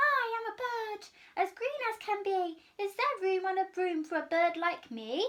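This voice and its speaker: A woman's squeaky put-on character voice, extremely high in pitch. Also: moderate pace. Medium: read story.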